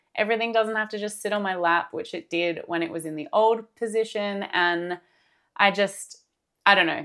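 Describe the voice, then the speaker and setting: With an Australian accent, a woman speaks at a medium pitch and moderate pace in a bright, sharp tone with ordinary pitch variation, on a very clean recording with a silent background. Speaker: crochet artist and craft vlogger. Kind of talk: casual vlog talk to camera. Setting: home craft room. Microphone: new microphone set.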